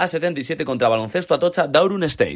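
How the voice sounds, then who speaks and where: In a very clean recording with a silent background, a man's fairly high voice makes very wide pitch swings. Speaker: club podcast host. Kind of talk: scripted narration; interview.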